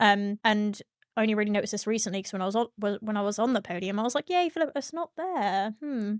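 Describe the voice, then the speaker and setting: In a strong British accent, a woman talks very fast with lively intonation and a fairly high pitch. The sound is dry and close, with no echo. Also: very clean recording, silent background. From Britain. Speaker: streamer and sim racer. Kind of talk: casual interview chat.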